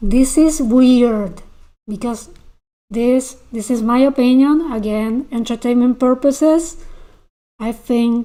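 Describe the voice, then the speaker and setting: A woman's fairly high, dark and mellow voice in an Argentine accent, with fairly even intonation. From Argentina. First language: Spanish. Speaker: YouTube commentator. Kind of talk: livestream commentary reading chat. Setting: livestream. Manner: halting, repeats words.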